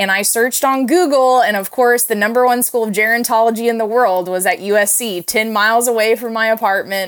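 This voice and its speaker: A woman with an American accent, an unremarkable speaking voice, fairly high pitch and ordinary pitch variation, on a very clean recording with a silent background. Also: fairly quick pace. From Oklahoma, Tulsa. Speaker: geriatric food advocate, gerontologist. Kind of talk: interview.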